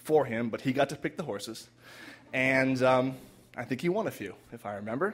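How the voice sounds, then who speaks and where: The man uses a normal speaking voice, pitched in the medium range and delivered at a moderate pace. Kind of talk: live storytelling performance. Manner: conversational, heartfelt.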